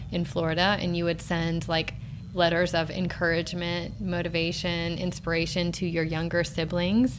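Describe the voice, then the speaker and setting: With noticeable background noise behind her, a woman speaks at a moderate pace in a fairly low voice. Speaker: podcast host, mom. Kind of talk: casual interview chat.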